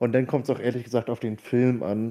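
Here a man speaks at medium pitch with a dark, mellow tone. The recording is very clean and the background silent. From northern Germany, Hamburg. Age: 20s. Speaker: podcast co-host. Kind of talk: casual chat.

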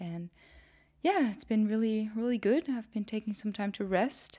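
In a very clean recording with a silent background, a woman speaks with a dark, mellow tone and ordinary pitch variation. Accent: Dutch. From Netherlands. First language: Dutch. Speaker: podcast host and YouTuber. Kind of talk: solo podcast intro monologue. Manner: casual, conversational.

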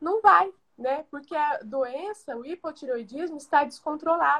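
A woman's voice sits high in pitch. She moves at a moderate pace with ordinary pitch variation. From Brazil, Goiás. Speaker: pharmacist. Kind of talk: livestream talk. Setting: online livestream.

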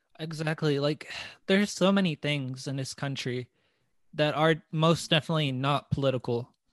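A man with an American accent and an ordinary speaking voice, fairly high-pitched, at a moderate pace with fairly even intonation, recorded dry and close with no echo over a quiet background. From US South, small-town Arkansas. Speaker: podcast host. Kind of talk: interview.

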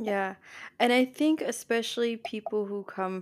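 In a very clean recording with a silent background, a woman with a New Jersey accent talks at a moderate pace with ordinary pitch variation. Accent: New Jersey American English. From New Jersey, US. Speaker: podcaster and spiritual practitioner. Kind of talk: casual interview chat.

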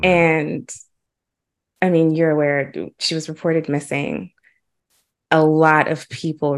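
Very deep and low in pitch, a woman speaks with ordinary pitch variation over a quiet background. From Huntsville, Alabama. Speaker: podcast host. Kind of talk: interview.

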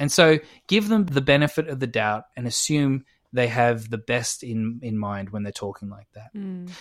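On a very clean recording with a silent background, a man with an Australian accent speaks at a medium pitch with lively intonation. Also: moderate pace, big swings in loudness. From Australia, Adelaide. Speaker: podcast co-host. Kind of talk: casual chat.

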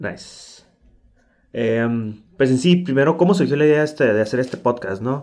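A man talks at a moderate pace in a plain, everyday voice. His pitch is medium, with ordinary pitch variation. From Tijuana, Mexico. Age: 30s. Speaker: podcast co-host, UX designer. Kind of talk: casual chat.

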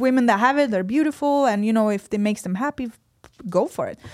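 With lively intonation, a woman speaks in a Swedish accent, her sound dry and close with no echo. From Sweden. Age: 30s. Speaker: fitness athlete. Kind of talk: podcast interview. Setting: studio.

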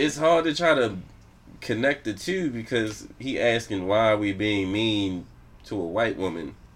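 This man has an unremarkable speaking voice, pitched fairly low. He talks at a moderate pace. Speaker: podcast host. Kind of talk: casual chat.

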